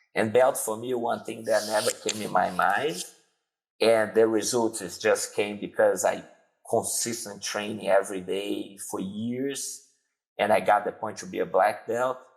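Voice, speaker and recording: In a Brazilian Portuguese accent, a man speaks at a fairly slow pace. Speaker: jiu-jitsu instructor. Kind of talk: interview.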